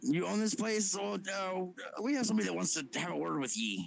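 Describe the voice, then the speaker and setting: Doing a put-on character voice, a man talks at a high pitch and a fairly quick pace. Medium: actual play.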